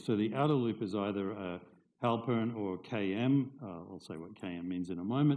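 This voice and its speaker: With audible room echo, a man at a fairly low pitch speaks at a moderate pace with ordinary pitch variation. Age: 60s. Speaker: professor. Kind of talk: lecture.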